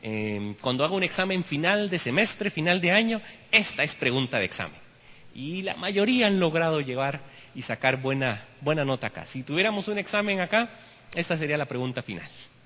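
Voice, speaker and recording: With a bright, sharp tone, this voice moves at a moderate pace through very wide pitch swings. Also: man, fairly high pitch for a man. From Costa Rica. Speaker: history teacher, guest speaker at church. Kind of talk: church lecture. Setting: church.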